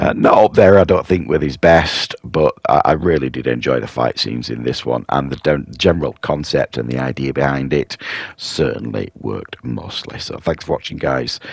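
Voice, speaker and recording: A man with a very deep, low pitch, ordinary pitch variation, a moderate pace and hardly any pauses, in a dry, close sound with no echo and noticeable background noise. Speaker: film reviewer. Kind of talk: casual review monologue. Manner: hesitant, many fillers.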